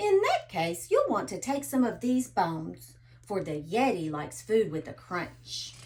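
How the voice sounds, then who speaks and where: A woman's put-on, growling character voice at a medium pitch, moderate in pace with hardly any pauses. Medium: read story. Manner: growling, indignant.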